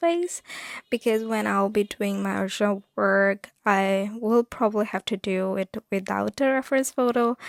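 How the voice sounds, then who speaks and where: In a very clean recording with a silent background, a soft-spoken woman is heard with a dry, close sound and no echo. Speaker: artist vlogger. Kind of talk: casual vlog talk. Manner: halting.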